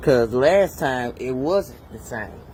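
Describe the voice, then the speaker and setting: The speaker talks at a very slow pace in a somewhat breathy voice. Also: man. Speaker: DIY mechanic. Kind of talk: tutorial. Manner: casual.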